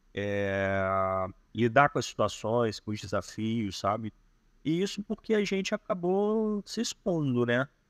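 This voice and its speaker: A man at medium pitch speaks at a very slow pace with very wide pitch swings. The sound is dry and close, without echo. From Rio de Janeiro. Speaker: digital nomad. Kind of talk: podcast interview answer. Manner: reserved, introspective.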